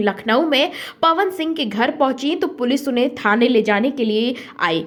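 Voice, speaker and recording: A woman's high voice carries lively intonation. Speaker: news narrator. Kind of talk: entertainment news narration.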